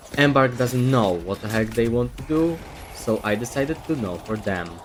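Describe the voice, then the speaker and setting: A man with a non-native accent speaks at a medium pitch and a moderate pace, with ordinary pitch variation. Noticeable background noise runs under the voice. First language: not English. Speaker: gaming content creator. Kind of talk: scripted commentary video. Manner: reading from a script.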